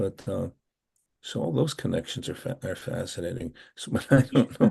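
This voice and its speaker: At a moderate pace, a man's dark, mellow tone carries lively intonation and some vocal fry. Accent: American. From Pennsylvania. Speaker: novelist and retired professor. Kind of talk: interview. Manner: halting.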